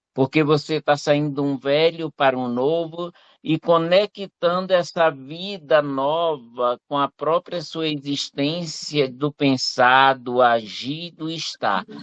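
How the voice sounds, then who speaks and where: At a very slow pace and with hardly any pauses, a man speaks in a fairly high pitch. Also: ordinary pitch variation. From Teresina, Piauí, northeastern Brazil. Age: 60s. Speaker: retired civil servant, audience participant. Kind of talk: personal testimony in live Q&A.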